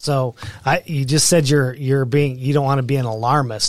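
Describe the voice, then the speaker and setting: A man with an American accent and an unremarkable speaking voice, fairly quick pace, fairly even intonation. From Pueblo, Colorado. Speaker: local political candidate, retired prison worker. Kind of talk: interview.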